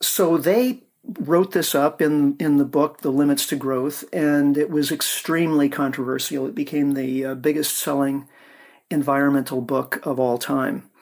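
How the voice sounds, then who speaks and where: With a General American accent, a man talks in an ordinary speaking voice, fairly high in pitch, at a moderate pace and with fairly even intonation. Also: very clean recording, silent background. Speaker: author and energy researcher. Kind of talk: interview.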